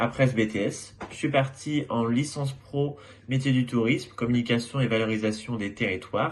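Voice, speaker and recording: Somewhat breathy, this voice keeps a fairly even intonation. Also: man. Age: 20s. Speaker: former student. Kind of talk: testimony.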